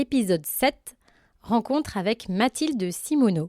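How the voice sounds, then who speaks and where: This woman speaks at a very slow pace with a fairly high pitch and very wide pitch swings. The recording is very clean, with a silent background. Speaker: podcast host, agronomist. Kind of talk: podcast intro.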